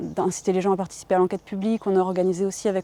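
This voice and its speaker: This woman talks at a very fast pace in a medium pitch. Her tone is dark and mellow. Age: 40s. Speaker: farmer and activist. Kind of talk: interview. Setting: on her farm. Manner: hesitant, many fillers.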